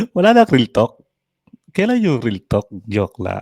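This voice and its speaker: Delivered at a moderate pace, the speech has an animated tone and a dry, close sound with no echo. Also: man. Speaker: online content creator. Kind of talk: mocking rant at a rival creator. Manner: animated, frequent laughter.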